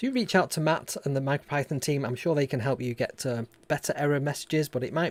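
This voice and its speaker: A man with a northern English accent speaks at a very fast pace on a very clean recording with a silent background. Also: dry, close sound with no echo. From northern England. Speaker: robotics maker and YouTuber. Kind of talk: live stream tutorial chat. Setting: live stream. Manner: casual, with frequent fillers.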